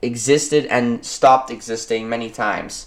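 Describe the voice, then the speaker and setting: A man with a non-native accent. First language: not English. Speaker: history YouTuber. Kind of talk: educational narration. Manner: halting, many fillers.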